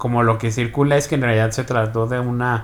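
A man speaks in a plain, everyday voice. His pace is moderate and his pitch medium. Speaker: podcast co-host. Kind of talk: casual chat.

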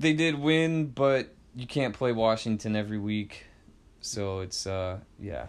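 A man's medium-pitched, plain, everyday voice, fairly slow and with lively intonation, in a very clean recording with a silent background. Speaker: sports podcast co-host. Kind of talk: casual sports chat.

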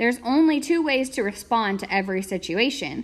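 At a moderate pace, a woman speaks in an ordinary speaking voice with lively intonation. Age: 20s. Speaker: podcast host. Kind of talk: motivational talk.

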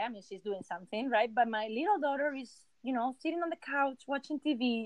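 In a Spanish accent, a woman talks at a moderate pace with a high pitch and lively intonation, the sound dry and close with no echo. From Spain. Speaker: illustrator and surface pattern designer. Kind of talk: casual interview chat. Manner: halting.

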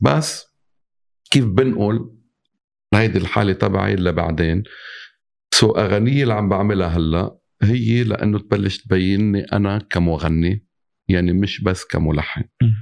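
Against a quiet background, an unremarkable speaking voice moves with ordinary pitch variation. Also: man, fairly low pitch for a man. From Lebanon. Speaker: composer and singer. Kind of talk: casual chat.

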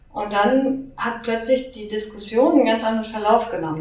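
With audible room echo and noticeable background noise around her, the woman talks at a moderate pace, her fairly high pitch showing ordinary pitch variation. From Hamburg, northern Germany. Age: 30s. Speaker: engineer. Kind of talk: interview. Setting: at guest's apartment.

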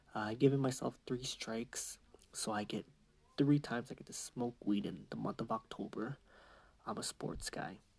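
Someone whispers at a moderate pace. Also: man. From Canada. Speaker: podcaster. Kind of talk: casual monologue. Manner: rambling casual.

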